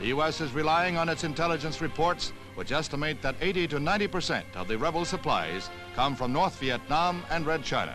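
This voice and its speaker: A man's fairly high, serious voice at a fairly quick pace, with ordinary pitch variation and music in the background. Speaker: newsreel narrator. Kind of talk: newsreel narration. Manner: serious, measured.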